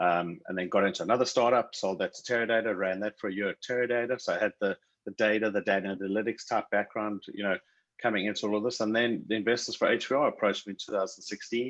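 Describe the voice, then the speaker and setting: Speaking very fast with a South African accent, a man keeps a medium pitch and fairly even intonation. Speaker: tech company CEO. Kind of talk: interview.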